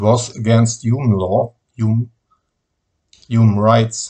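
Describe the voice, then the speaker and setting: In a German accent, a man speaks very slowly at a medium pitch, somewhat breathy. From Germany. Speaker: political activist. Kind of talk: video message.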